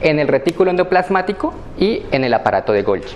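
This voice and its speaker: A man talks fairly quickly with lively intonation, and noticeable background noise is present. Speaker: graduate student instructor. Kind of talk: lecture. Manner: hesitant with fillers; fast.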